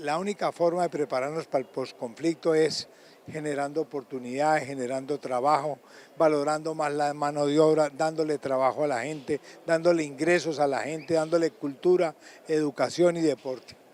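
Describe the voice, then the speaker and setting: The delivery is monotone and flat, recorded with a dry, close sound and no echo. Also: man, fairly high pitch for a man, moderate pace. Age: 70s. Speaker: city mayor. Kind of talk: news interview.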